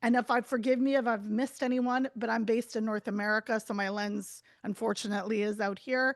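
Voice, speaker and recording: Fairly quick speech comes through a dry, close sound with no echo. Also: woman, fairly high pitch for a woman. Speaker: journalist and advocate. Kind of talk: webinar talk. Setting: video call. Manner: loud.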